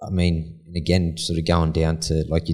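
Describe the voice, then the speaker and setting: In an Australian accent, a man speaks with a very deep, low pitch. His pace is moderate and his intonation monotone and flat. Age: 40s. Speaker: concrete polisher, business owner. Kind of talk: casual interview.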